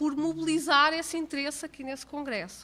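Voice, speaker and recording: A raised, projected voice with a bright, sharp tone, ordinary pitch variation and a moderate pace. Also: woman. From Portugal. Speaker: accounting professor. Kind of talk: lecture. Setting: conference hall, seated at table with microphone.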